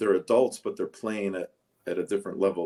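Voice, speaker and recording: A man speaks in a Chicago accent. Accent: Chicago American English. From Chicago suburbs, US. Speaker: interview guest. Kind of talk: casual interview.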